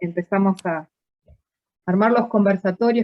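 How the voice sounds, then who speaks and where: Using fairly even intonation, a woman talks at a moderate pace and medium pitch. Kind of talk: live stream host introduction.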